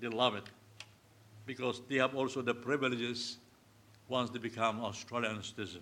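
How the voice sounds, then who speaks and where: A man with a Filipino accent speaks in a bright, sharp tone. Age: 70s. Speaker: pastor. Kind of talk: sermon. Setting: church.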